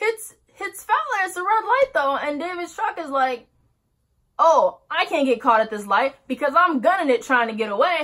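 In a quiet setting, a woman speaks at a medium speed. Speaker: vlogger. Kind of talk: casual storytime vlog. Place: home room. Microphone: phone near.

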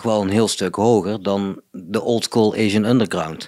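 The recording is very clean, with a silent background. A man speaks very slowly with fairly even intonation. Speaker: electronic music producer in a band. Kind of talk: casual interview chat. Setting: living room.

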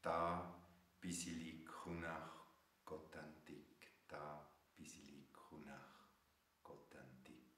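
With vocal fry and a bright, sharp tone, a man speaks at a very deep, low pitch, very slowly and in a flat monotone, leaving long, frequent pauses amid audible room echo. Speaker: spiritual teacher, author. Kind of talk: guided meditation. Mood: calm, gentle, warm. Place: home room. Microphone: webcam.

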